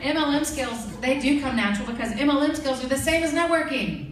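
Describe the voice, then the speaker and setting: Over noticeable background noise and audible room echo, a woman talks at a fairly quick pace in an animated tone with a high pitch. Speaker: network marketing team leader and trainer. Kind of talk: training presentation to an audience. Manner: fast.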